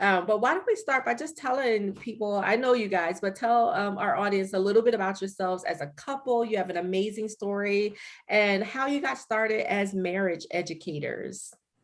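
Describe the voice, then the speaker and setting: An animated tone at a moderate pace, with ordinary pitch variation and hardly any pauses. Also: woman, medium pitch for a woman. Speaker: livestream host, nonprofit founder. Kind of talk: livestream interview. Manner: loud.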